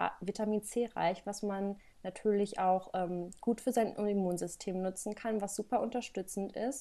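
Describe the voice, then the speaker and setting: Speaking at a moderate pace, a woman uses a dark, mellow tone at medium pitch with fairly even intonation. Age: 20s. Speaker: holistic health and nutrition coach. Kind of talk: podcast interview. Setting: studio.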